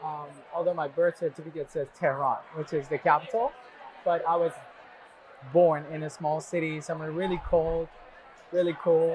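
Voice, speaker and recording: Long, frequent pauses break up this man's monotone, flat delivery, which sits at a fairly high pitch over noticeable background noise. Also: moderate pace. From Iran. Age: 30s. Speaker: university alumnus, scientist. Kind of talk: oral history interview.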